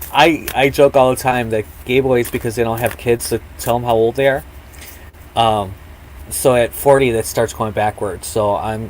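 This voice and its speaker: A man with an unremarkable speaking voice talks at medium pitch and a moderate pace. His pitch varies in an ordinary way. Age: 30s. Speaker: podcast co-host. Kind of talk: casual chat. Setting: live stream.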